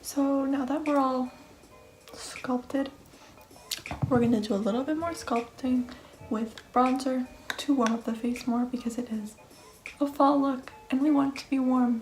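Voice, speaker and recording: Speaking at a high pitch with fairly even intonation and long, frequent pauses, a woman is heard over music in the background. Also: moderate pace. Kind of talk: makeup tutorial voiceover. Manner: whispered, soft-spoken.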